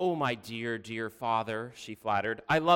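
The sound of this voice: An unforced reading voice is heard in this recording.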